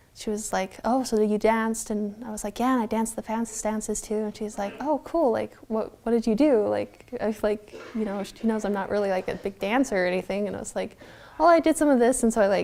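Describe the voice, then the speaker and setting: Soft-spoken and fairly high-pitched, a woman talks at a fairly quick pace with ordinary pitch variation amid noticeable background noise. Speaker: interviewee. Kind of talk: personal storytelling interview. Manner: casual, filler-heavy.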